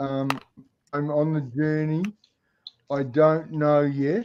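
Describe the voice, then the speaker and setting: A man speaks in a dark, mellow tone at a fairly high pitch, with an Australian accent. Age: 60s. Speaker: home grower with Parkinson's. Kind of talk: casual chat. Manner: halting.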